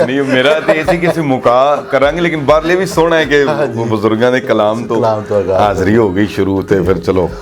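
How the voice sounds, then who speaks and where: Amid noticeable background noise, a man at a medium pitch speaks with very wide pitch swings and very even loudness. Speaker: voice-over artist and poet. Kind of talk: interview answer.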